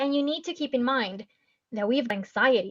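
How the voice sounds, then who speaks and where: Her voice high in pitch, a woman talks at a fairly quick pace. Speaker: marketing trainer. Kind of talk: webinar presentation. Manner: fast.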